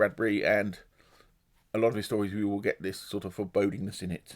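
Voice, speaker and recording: A very fast-talking man with a fairly low voice. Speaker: booktuber. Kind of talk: casual book review monologue.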